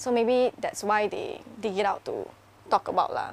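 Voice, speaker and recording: An ordinary speaking voice from a woman, fairly high in pitch, with ordinary pitch variation. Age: 20s. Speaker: YouTuber. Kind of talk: casual chat.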